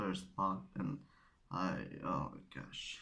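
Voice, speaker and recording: A man talks with a Polish accent. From Poland. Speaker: origami tutorial creator. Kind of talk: tutorial. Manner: halting, searching for words.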